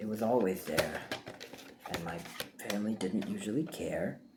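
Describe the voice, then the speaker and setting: A soft-spoken man talks with lively intonation amid noticeable background noise and audible room echo. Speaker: VHS collector showing thrift haul. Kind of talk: casual ASMR haul video. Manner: halting.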